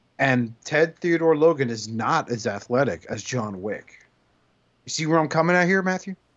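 In an American accent, a man uses a plain, everyday voice at a moderate pace, his fairly high pitch moving with lively intonation. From US, Cuban American household. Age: 40s. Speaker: podcast host. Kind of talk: casual chat.

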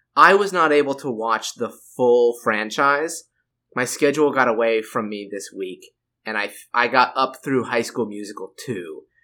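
A man's bright, sharp voice at a moderate pace. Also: medium pitch for a man, ordinary pitch variation. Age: 30s. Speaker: film podcast co-host. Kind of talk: casual chat. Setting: remote call while traveling.

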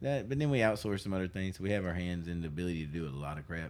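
With a very deep, low pitch, a man talks at a very fast pace with lively intonation. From Arkansas, North Little Rock. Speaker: former music venue owner. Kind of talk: casual chat. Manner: loud.

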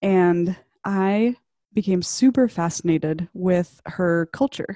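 A woman with an American accent speaks at a fairly low pitch and a very slow pace, her tone dark and mellow. The recording is very clean with a silent background and a dry, close sound with no echo. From US South, Arkansas. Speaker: web designer and expat. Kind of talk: casual chat.

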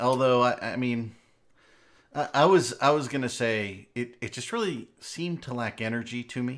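At a medium pitch and moderate speed, a man talks in a normal speaking voice, his pitch varying in an ordinary way. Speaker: live stream host. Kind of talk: casual live stream banter. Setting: live Twitch stream, online call.

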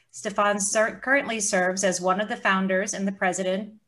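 It's a normal speaking voice at a fairly quick pace. The intonation is fairly even. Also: woman. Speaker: podcast co-host and psychotherapist. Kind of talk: casual interview chat. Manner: playful, teasing.

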